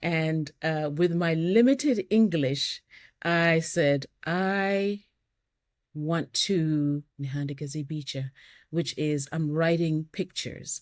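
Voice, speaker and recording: Speaking at a very slow pace with a Kenyan accent, a woman uses a fairly low pitch and ordinary pitch variation, in a very clean recording with a silent background. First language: Luhya. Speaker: artist and stroke survivor. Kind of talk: interview conversation.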